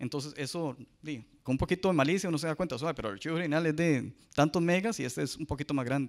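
Over a quiet background, a man talks very fast at a fairly high pitch. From Costa Rica. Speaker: cybersecurity analyst; conference speaker. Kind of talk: conference talk. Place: hall. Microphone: handheld.

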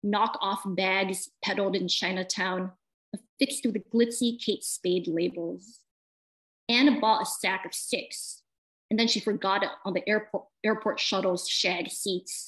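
Over a quiet background, a woman with an American accent and a normal speaking voice talks fairly slowly at fairly high pitch, with ordinary pitch variation. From US Midwest. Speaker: poet. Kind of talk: interview. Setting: video call. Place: home room. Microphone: video call.

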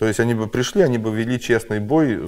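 Very fast speech with ordinary pitch variation over a quiet background. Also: man. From Ukraine. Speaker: truck driver and blogger; blogger. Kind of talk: casual chat. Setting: studio. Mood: animated, sarcastic political talk. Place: studio.

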